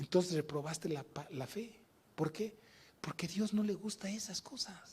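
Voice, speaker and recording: A man speaks at a moderate pace. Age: 70s. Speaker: pastor. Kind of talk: sermon. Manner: animated.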